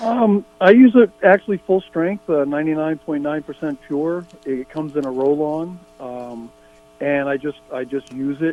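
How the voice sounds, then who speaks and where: A man's fairly high voice with lively intonation at a moderate pace, music in the background. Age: 60s. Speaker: caller. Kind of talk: casual chat. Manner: halting.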